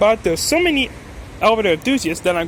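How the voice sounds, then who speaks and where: A man talks here. Background noise is clearly audible behind him. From France. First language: French. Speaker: elevator enthusiast vlogger. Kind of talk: casual vlog narration. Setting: parking garage. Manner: halting.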